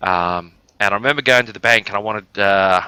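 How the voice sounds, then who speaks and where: With an Australian accent, a man with a fairly low pitch and a bright, sharp tone speaks on a dry, close, very clean recording with no echo and a silent background. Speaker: gaming live streamer. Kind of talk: casual storytelling during game stream. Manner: fast; animated.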